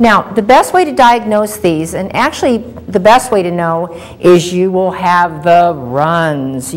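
This is a woman speaking. Her intonation is lively. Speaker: health show host. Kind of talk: lecture. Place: studio.

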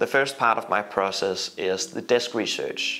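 Light background noise sits beneath a man who speaks at a moderate speed. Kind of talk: tutorial. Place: home room.

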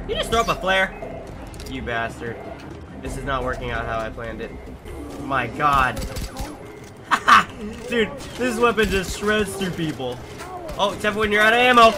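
A man's raised, projected voice, high in pitch with very wide pitch swings, at a moderate pace over noticeable background noise. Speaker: gaming commentator. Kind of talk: casual gameplay commentary. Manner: excitable, swearing.

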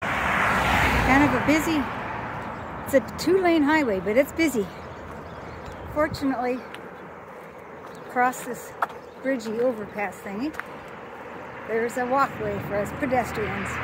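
The speech comes at a fairly slow pace with long, frequent pauses. Loud background noise fills the dry sound, which has no echo. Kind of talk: casual vlog chat. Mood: cheerful, laughing. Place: street. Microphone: phone near.

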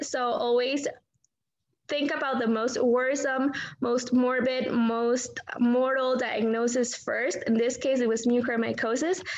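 This woman's voice sits high in pitch. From India. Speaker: physician educator. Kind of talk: case discussion summary. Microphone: video call.

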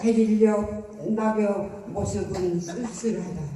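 A man speaks in a gentle tone, with noticeable background noise and audible room echo. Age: 80s+. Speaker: elderly day-care client. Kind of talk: poetry reading.

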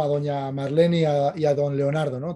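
At a fairly slow pace, a man speaks with a dark, mellow tone. The background is quiet. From Spain. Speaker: cycling show host. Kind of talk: casual interview. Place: home room. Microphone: studio mic.

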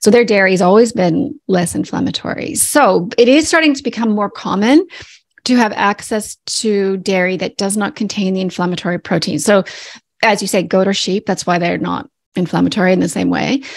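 A woman with a Canadian accent and vocal fry, at a moderate pace against a quiet background. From Canada. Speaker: naturopathic doctor. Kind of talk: interview. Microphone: studio mic.

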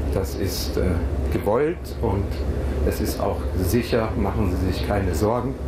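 A man talking at a very slow pace amid loud background noise. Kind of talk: cabin announcement. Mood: emotional, moved. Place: plane.

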